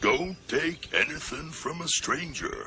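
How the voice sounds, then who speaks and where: Over clear background noise, a man performs a cartoonish character voice. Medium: puppet show. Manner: slow, glum, droning.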